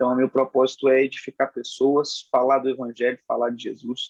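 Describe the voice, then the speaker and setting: A man's fairly high pitch in a dry, close sound with no echo. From Rio de Janeiro, Brazil. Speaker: preacher. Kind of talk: interview testimony.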